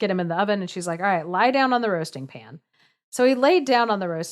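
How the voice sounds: Lively intonation marks a natural reading voice, heard over a quiet background.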